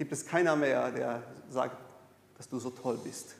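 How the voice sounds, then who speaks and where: A man with a Brazilian accent at a fairly slow pace, ordinary pitch variation, audible room echo and noticeable background noise. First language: Portuguese (speaking German). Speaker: pastor. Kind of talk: sermon. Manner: halting.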